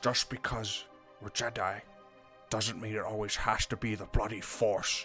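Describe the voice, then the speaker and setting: A man's put-on character voice, medium in pitch, monotone and flat, at a moderate pace with clear music in the background. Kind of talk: audio drama narration.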